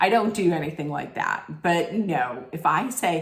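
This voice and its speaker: Amid noticeable background noise and audible room echo, a woman with a fairly low voice speaks fairly slowly in an animated tone with lively intonation. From Italian-American family. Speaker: reality TV recap vlogger. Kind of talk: casual rant. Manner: animated, rambling with self-corrections.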